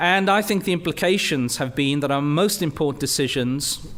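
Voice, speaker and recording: Noticeable background noise runs under a man who speaks fairly quickly, his voice fairly high and his pitch varying in an ordinary way. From Wales, Rhondda Valley. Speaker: university leader and physicist. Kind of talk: lecture.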